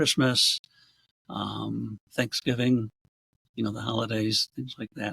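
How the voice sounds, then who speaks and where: A man with an American accent speaks at a moderate pace and medium pitch, with vocal fry, fairly even intonation, and a dry, close sound with no echo. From Rochester, New York area, US. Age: 70s. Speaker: realtor and community alumni organizer. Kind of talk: interview conversation.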